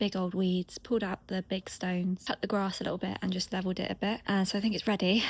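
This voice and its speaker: The voice is quiet and somewhat breathy. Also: woman. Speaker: lifestyle vlogger. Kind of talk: casual vlog talk. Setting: outdoors in garden. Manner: speaking quietly.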